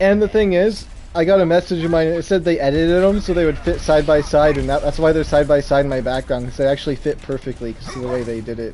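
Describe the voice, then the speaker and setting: A man with a fairly high-pitched voice speaks at a very fast pace with ordinary pitch variation over noticeable background noise. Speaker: gaming streamer. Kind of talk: casual chat. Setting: live stream. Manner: halting.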